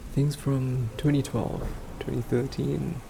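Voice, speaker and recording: A man speaks softly. There is noticeable noise in the background. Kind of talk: casual rambling talk, sleep aid. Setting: home microphone recording. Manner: soft-spoken.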